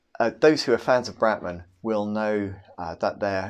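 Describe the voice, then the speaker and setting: At a moderate pace and a fairly low pitch, a man speaks in a normal speaking voice over a quiet background. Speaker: philosophy lecturer. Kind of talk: recorded lecture.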